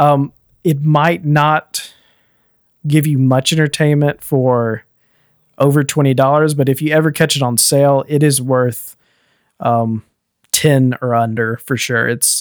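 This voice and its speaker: Long, frequent pauses break up the fairly slow, fairly even delivery, recorded with a dry, close sound with no echo, very clean with a silent background. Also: man. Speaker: podcast host. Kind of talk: casual chat about gaming news.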